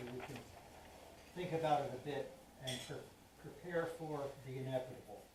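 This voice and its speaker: In a room with audible echo, a man speaks at a fairly high pitch. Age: 80s+. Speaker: lay speaker at a church service. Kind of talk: sermon.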